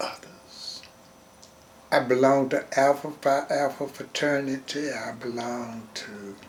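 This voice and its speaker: Against noticeable background noise, the voice moves at a very slow pace with fairly even intonation. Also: man. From US South, Georgia and Jacksonville, Florida. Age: 100. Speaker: retired railroad porter. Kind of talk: oral history interview. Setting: interview in Jacksonville.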